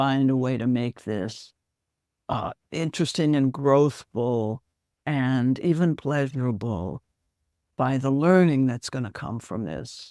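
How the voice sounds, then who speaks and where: A woman with a very deep, low pitch speaks fairly slowly with lively intonation. The recording is very clean and dry, close, with a silent background and no echo. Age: 80s+. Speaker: psychologist and relationship coach. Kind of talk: podcast interview.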